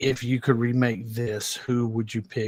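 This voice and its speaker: In a Georgia accent, a man speaks at medium pitch and a fairly slow pace. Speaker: podcast host. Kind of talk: casual chat.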